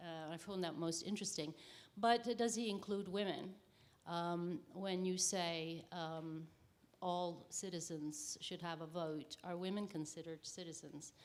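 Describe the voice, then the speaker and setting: Her pitch fairly low, a woman speaks at a fairly slow pace. Her intonation stays fairly even. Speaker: conference participant asking questions. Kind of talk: academic Q&A question. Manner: halting, many fillers.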